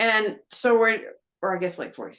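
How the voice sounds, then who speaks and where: A woman at a moderate pace, her pitch fairly high. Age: 60s. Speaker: life coach. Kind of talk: interview storytelling. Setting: podcast. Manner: animated.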